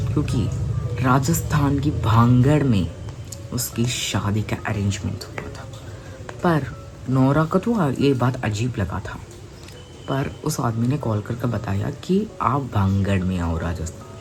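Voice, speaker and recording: With a Hyderabadi accent, a man talks amid noticeable background noise and audible room echo. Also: medium pitch for a man. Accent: Hyderabadi-accented Hindi. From India, Hyderabad. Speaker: youtube storyteller. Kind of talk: casual storytelling. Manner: halting, with repetitions and fillers.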